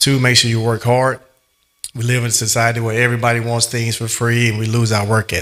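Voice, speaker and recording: A man with an Alabama accent talks very fast in a flat monotone over background music. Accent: US South (Alabama). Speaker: motivational speaker. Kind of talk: motivational speech.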